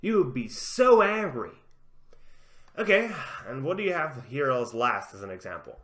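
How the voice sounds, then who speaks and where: Audible room echo surrounds a voice with vocal fry that moves at a moderate pace with long, frequent pauses. Its pitch swings very widely and its loudness rises and falls sharply. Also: man, fairly high pitch for a man. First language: not English. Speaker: gaming commentary youtuber. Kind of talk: commentary reading out an article. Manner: halting, self-correcting.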